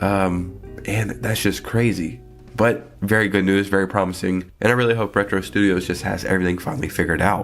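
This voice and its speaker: A man talks with a fairly low pitch. Behind him, music plays. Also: ordinary pitch variation. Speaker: gaming news commentator. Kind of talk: casual talk to camera.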